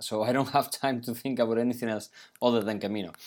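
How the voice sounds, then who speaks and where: In a very clean recording with a silent background, a man with a Spanish accent speaks at a medium pitch with fairly even intonation. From Pamplona, Navarra, Spain. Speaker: podcast host. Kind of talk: casual interview.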